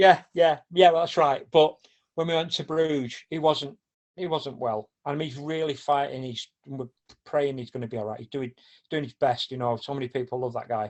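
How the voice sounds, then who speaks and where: Speaking with a Mancunian accent, a man uses a fairly high pitch. His pace is moderate, and his pitch varies in an ordinary way. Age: 60s. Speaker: football supporter and charity organiser. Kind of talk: casual chat. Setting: podcast.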